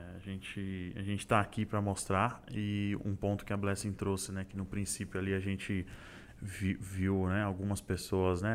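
Moderate pace, fairly low pitch, and monotone, flat intonation from a man. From Santo André, greater São Paulo, Brazil. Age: 20s. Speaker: corporate trainee, mechanical engineer. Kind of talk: casual interview chat.

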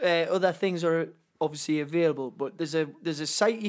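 A man with a high pitch talks at a moderate pace with ordinary pitch variation. The recording is very clean with a silent background. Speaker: gamer and streamer guest. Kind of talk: casual banter. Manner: joking.

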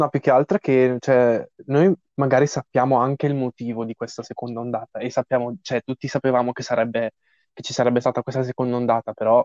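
Over a quiet background with a dry, close sound and no echo, a man speaks fairly quickly at a medium pitch, his dark, mellow tone set in monotone, flat intonation. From Lombardy, northern Italy. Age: young. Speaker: podcast co-host. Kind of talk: casual chat.

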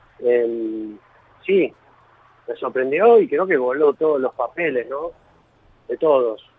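A man speaks very slowly with lively intonation and a fairly high pitch. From Argentina, Villa Gesell (Buenos Aires province). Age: 40s. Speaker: author and sports journalist. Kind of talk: interview.

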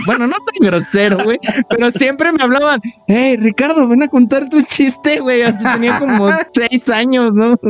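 A man with a Mexican accent at a moderate pace, amid noticeable background noise. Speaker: podcast co-host. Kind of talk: casual chat.

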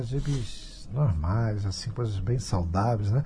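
With a dark, mellow tone and a somewhat breathy quality, a man speaks at medium pitch and a moderate pace, his intonation lively and the room echo audible. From Brazil, Rio de Janeiro. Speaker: radio host and pastor. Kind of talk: radio talk show. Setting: radio studio.

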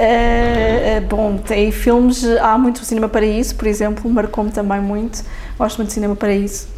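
Over noticeable background noise and audible room echo, the speech moves at a moderate pace with monotone, flat intonation. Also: woman, fairly high pitch for a woman. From Lisbon, Portugal. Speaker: politician, parliamentary group leader. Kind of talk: interview.

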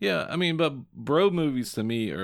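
On a very clean recording with a silent background, the words unfold at a fairly slow pace. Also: man. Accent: slight Southern. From southern Indiana. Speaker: podcast co-host. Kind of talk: casual chat. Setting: studio.

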